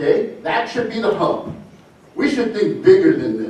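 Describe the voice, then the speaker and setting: Audible room echo and noticeable background noise surround the recording. A man speaks at a moderate pace. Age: 60s. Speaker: public commenter at planning meeting. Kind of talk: public comment. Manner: animated.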